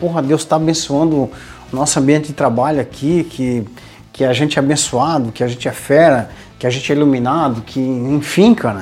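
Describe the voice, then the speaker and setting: Music plays in the background as a man speaks at a moderate pace. His pitch sits fairly high for a man. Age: 40s. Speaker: podcast host, leadership coach. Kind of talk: casual chat. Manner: animated.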